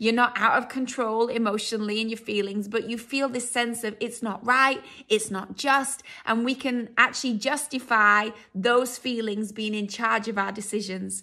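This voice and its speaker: A woman's fairly high voice, both bright and sharp yet warm in tone, moves at a moderate pace with fairly even intonation. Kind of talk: fervent intercessory prayer closing a teaching. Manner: earnest, heartfelt and pleading, with a warm pastoral tone.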